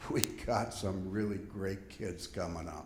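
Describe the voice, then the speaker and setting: A man's voice comes through somewhat breathy. The room echo is audible. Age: 70s. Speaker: audience member, volunteer fundraiser. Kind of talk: audience question.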